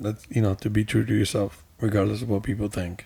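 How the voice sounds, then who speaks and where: A man talks at a fairly quick pace in a fairly low voice. His tone is dark and mellow, and somewhat breathy. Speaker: podcast host. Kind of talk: casual chat.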